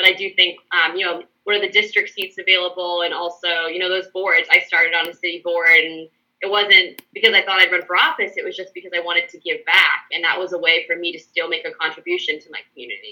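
Very fast with hardly any pauses, a woman speaks in a monotone, flat intonation at medium pitch, with a bright, sharp tone and big swings in loudness. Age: 20s. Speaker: city council member. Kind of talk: interview.

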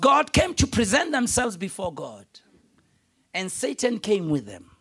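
A man talks in an animated tone. His voice is bright and sharp. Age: 50s. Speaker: pastor. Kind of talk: sermon. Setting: church with large congregation and overflow room. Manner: animated, call-and-response preacher who pushes the congregation for an 'amen'; urgent, repetitive, emphatic delivery with direct appeals.

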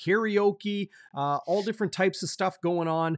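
The tone is upbeat. The sound is dry and close with no echo, over a quiet background. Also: man. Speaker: sports broadcaster host. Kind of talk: live sports talk show. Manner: upbeat, friendly, casual.

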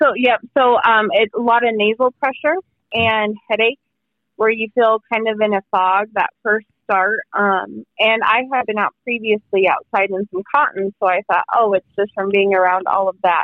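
A woman's plain, everyday voice, fairly high in pitch, with fairly even intonation and a moderate pace. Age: 30s. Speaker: COVID survivor. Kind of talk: interview. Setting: phone call.

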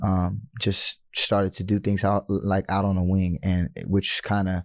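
Using a normal speaking voice, a man talks at a fairly slow pace and a fairly low pitch, the sound dry and close with no echo. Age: 30s. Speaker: former pro basketball player and youth coach. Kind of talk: interview.

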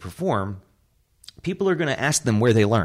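A man with a plain, everyday voice speaks at a moderate pace. The recording is very clean, with a silent background. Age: 40s. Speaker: improv comedy theater founder. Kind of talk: interview.

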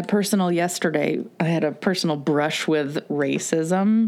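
This woman has a normal speaking voice with a fairly low pitch for a woman. She speaks at a fairly slow pace, her intonation fairly even. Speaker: podcast host. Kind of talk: casual chat.

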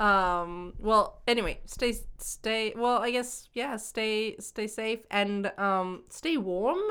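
A woman's fairly high, bright, sharp voice at a very slow pace with hardly any pauses and ordinary pitch variation. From Hong Kong. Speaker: podcast host. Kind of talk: casual chat. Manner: laughs often.

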